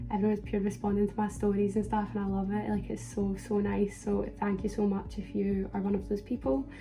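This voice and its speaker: A woman talking fairly quickly with hardly any pauses, in audible room echo. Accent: Central Belt Scottish. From Scotland, Falkirk area. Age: 20s. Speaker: vlogger, performing arts student. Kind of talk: casual Q&A vlog. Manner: animated.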